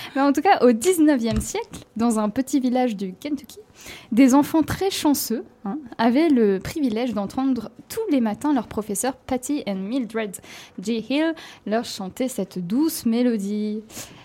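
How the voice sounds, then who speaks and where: A woman speaks with a high pitch and a dark, mellow tone. Her intonation is lively while her pace is very slow. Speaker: radio host presenting music segment. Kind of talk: casual chat.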